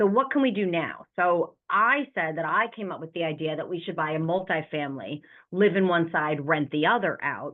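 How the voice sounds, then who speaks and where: A woman with an American accent talks with lively intonation and hardly any pauses. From New York. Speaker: real estate investor. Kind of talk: interview. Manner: fast.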